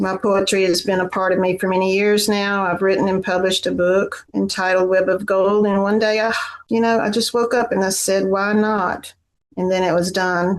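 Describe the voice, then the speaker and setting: A woman with a Southern US accent speaks at a moderate pace in a medium pitch, with monotone, flat intonation and very even loudness. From Tennessee. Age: 60s. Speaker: poet. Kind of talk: prepared remarks; casual chat.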